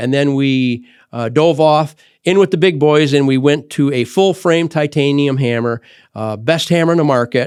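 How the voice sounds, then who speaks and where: Speech comes in an Upper Midwest accent at a moderate pace, with ordinary pitch variation. The recording is very clean, with a silent background. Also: man, fairly high pitch for a man. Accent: Upper Midwest American. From Michigan, US Midwest. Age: 60s. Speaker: tool company owner and podcast host. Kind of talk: podcast monologue. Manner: halting, many fillers and restarts.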